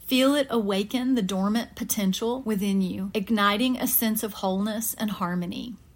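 In a very clean recording with a silent background, a woman talks in a somewhat breathy, gentle, soothing tone with fairly even intonation. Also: hardly any pauses. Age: middle-aged. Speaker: podcast host. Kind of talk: guided meditation. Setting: studio. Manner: soothing, calm; slow, gentle pacing.

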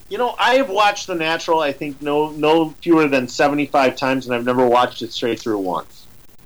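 Delivered at a fairly quick pace, an ordinary speaking voice carries lively intonation. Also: man, fairly high pitch for a man. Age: 40s. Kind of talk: casual chat.

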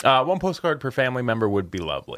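A man with a slight Canadian accent speaks at medium pitch, his pitch swinging very widely. The recording is very clean, with a silent background. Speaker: game developer podcast co-host. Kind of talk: casual chat. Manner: animated.

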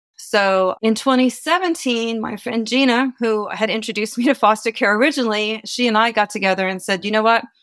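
A woman with an American accent and a plain, everyday voice speaks at a moderate pace with hardly any pauses. Her pitch is fairly high, with ordinary pitch variation. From US East Coast. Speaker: nonprofit executive director. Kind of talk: interview.

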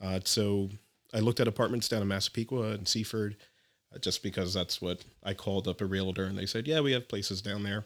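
A man with an American accent at a very fast pace and fairly low pitch, with fairly even intonation, in a very clean recording with a silent background. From New Jersey, Elizabeth. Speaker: scuba instructor. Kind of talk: casual interview.

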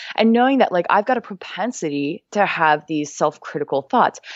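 A woman's fairly low, energetic voice with lively intonation at a fairly quick pace. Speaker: fitness coach. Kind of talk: interview. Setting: remote call. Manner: animated.

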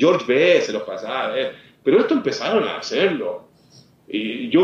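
A man speaks with audible room echo. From Chile, Santiago. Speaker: former footballer and football commentator. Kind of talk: interview.

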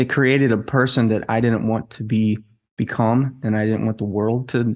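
A normal speaking voice from a man, medium in pitch, at a moderate pace. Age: 40s. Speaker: entrepreneur, martial artist and author. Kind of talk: casual interview.

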